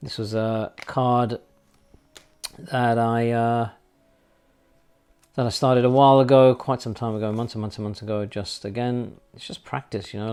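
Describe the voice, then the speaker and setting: Speaking with a London accent, a man at medium pitch keeps a moderate pace and fairly even intonation, with long, frequent pauses. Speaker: artist. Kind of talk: casual chat. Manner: hesitant, many fillers.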